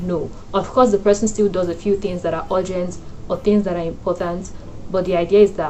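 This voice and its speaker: A woman's medium-pitched, flat, monotone voice at a fairly quick pace, with music in the background. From Nigeria. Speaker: lifestyle and wellness YouTuber. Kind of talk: casual talk to camera.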